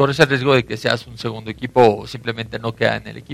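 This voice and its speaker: The tone is bright and sharp as a man talks with ordinary pitch variation. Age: 30s. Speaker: American football player. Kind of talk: radio interview.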